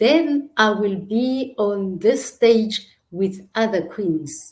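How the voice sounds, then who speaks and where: An animated tone with very wide pitch swings. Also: woman. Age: 60s. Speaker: talk show host and coach. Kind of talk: online talk show monologue.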